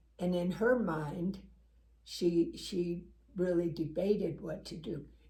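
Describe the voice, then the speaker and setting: A woman talks at a very slow pace in a dark, mellow tone that is somewhat breathy, with fairly even intonation. Her loudness swings widely, and the room echo is audible. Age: 80s+. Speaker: talk show co-host. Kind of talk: personal testimony in casual chat.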